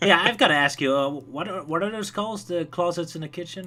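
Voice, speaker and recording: Over noticeable background noise, the speech races at a very fast pace with lively intonation. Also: man. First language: not English. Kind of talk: casual chat.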